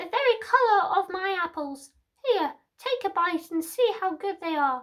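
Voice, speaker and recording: A squeaky, cackling put-on character voice comes with lively intonation. It moves at a moderate pace. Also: woman, extremely high pitch for a woman. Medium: read story. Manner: wheedling.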